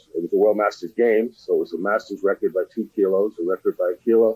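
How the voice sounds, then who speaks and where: A man with an American accent, an ordinary speaking voice and lively intonation, at a fairly quick pace. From Connecticut, Stamford. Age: 60s. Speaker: weightlifting coach. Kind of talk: podcast interview. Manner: conversational, with many fillers.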